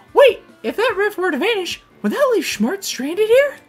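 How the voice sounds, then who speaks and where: An extremely high-pitched woman talks at a moderate pace. Faint music plays in the background. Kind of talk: read of game dialogue. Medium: game stream. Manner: upbeat, enthusiastic.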